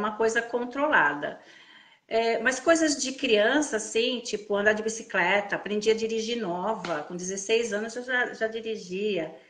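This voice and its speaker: Here is a woman with an ordinary speaking voice, pitched fairly high. Her intonation is lively and her pace moderate. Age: 60s. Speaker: integrative therapist. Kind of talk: testimony. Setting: Instagram live video call.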